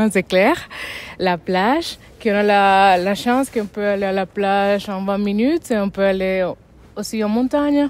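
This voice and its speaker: A woman with a non-native accent talks fairly slowly. Her medium-pitched voice shows ordinary pitch variation. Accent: foreign accent in French. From Dominican Republic. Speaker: resident interviewee. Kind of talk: casual interview. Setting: outdoors in a town square. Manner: hesitant, with fillers and restarts.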